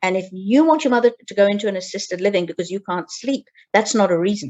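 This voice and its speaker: Here is a woman with a British accent. Her pitch is medium. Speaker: geriatric care manager. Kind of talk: interview. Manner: halting.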